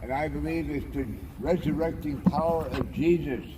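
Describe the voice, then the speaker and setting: A man's fairly high-pitched voice at a fairly slow pace, with audible room echo. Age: 80s+. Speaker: anchorage community preacher. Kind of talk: informal sermon. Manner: impassioned.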